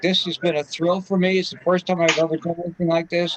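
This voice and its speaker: Heard in a dry, close sound with no echo, the voice carries an American accent over noticeable background noise. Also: man. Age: 70s. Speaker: amateur radio operator, invited speaker. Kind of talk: club talk Q&A wrap-up. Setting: video call. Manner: casual, rambling with fillers.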